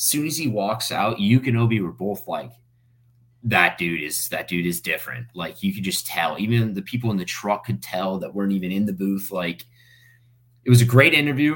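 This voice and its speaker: A normal speaking voice with an American accent, lively intonation and a moderate pace. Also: man, fairly low pitch for a man. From US South, Fort Myers, Florida. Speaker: stage manager for sports broadcasts. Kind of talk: interview. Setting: podcast recording.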